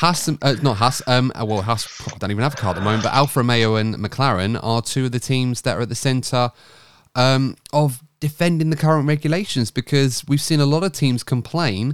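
A man's plain, everyday voice at medium pitch, with ordinary pitch variation and a fairly quick pace, on a very clean recording against a silent background. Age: 30s. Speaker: podcast host. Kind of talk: casual chat.

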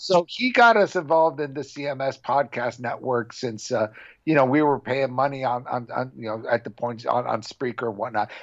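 Speaking with a Californian accent, a man keeps a medium pitch, a moderate pace and ordinary pitch variation. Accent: Californian American. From Southern California, Orange County. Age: 50s. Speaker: metal documentary filmmaker and podcast host. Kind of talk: casual interview chat.

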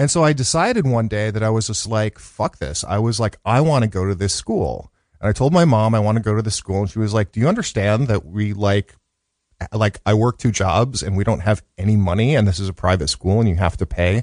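A man speaks in a normal speaking voice at a fairly quick pace with ordinary pitch variation. The sound is dry and close with no echo, over a quiet background. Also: fairly low pitch for a man. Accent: American. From Chicago, South Side. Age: 50s. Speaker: educator and radio producer. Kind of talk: interview. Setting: studio.

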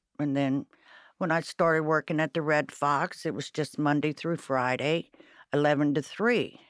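In an Ohio accent, a woman with a very deep, low pitch speaks at a fairly slow pace, the sound dry and close with no echo. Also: very clean recording, silent background. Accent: Midwestern US (Ohio). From Cincinnati, Ohio. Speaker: restaurant server. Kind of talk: casual interview chat.

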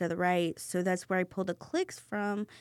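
Woman with an American accent, medium pitch and monotone, flat intonation, in a dry, close sound with no echo on a very clean recording with a silent background. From US Midwest. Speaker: restaurant co-owner. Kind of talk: casual interview. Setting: podcast studio.

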